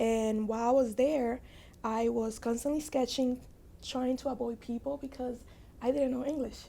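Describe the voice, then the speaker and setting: The recording is very clean with a silent background, carrying a woman's high-pitched voice. Her tone is dark and mellow, her pace moderate, and her intonation monotone and flat. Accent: Spanish. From Dominican Republic, then Bronx, New York. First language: Spanish. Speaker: fashion designer. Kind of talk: podcast interview, personal story.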